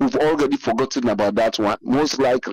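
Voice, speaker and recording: A man with a Sierra Leonean accent speaks at a moderate pace with very wide pitch swings. The sound is dry and close, with no echo. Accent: Sierra Leonean Krio-inflected English. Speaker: caller. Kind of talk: call-in commentary.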